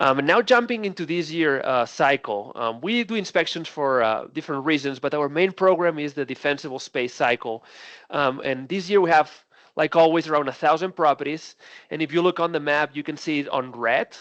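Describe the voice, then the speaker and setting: With a Spanish accent and a fairly high pitch, a man speaks with ordinary pitch variation in a dry, close sound with no echo. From Spain. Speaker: defensible space supervisor. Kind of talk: training webinar presentation. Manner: many fillers and hesitations.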